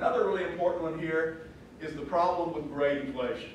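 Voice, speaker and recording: Strong room echo over light background noise. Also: man. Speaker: guest lecturer. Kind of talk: lecture. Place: classroom.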